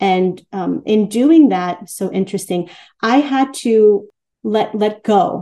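A woman with an American accent, fairly high in pitch, with a dark, mellow tone, ordinary pitch variation and a very slow pace. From Queens, New York. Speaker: artist. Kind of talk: interview. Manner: halting, with repeated words.

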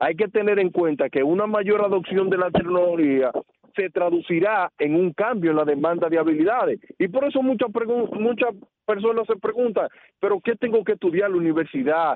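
High pitch from a man, with ordinary pitch variation. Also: moderate pace, very even loudness. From Dominican Republic, Puerto Plata. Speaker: radio commentator on skills and the future of work. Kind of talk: explanatory radio talk. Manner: emphatic.

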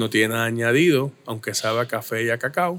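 A man with medium pitch and a bright, sharp tone speaks at a fairly slow pace. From Puerto Rico, Caguas. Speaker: brewery owner. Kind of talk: casual interview.

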